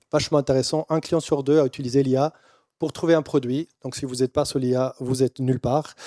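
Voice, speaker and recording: In a dry, close sound with no echo, a man with a dark, mellow tone and a fairly high voice speaks at a moderate pace with fairly even intonation. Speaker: keynote speaker, brand and AI consultant. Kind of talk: keynote presentation. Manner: halting, many fillers and repetitions.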